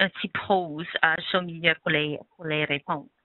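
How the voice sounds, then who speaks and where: A woman speaks at a fairly slow pace with a non-native accent. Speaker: webinar presenter, health education consortium staff. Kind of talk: webinar presentation. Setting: online webinar. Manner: hesitant, many fillers.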